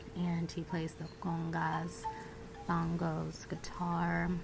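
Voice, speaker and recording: Over music in the background, a woman with an American accent speaks in a relaxed tone. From United States (Virginia). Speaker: self-taught surrealist artist. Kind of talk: ASMR soft-spoken talk to camera. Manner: soft-spoken, relaxed.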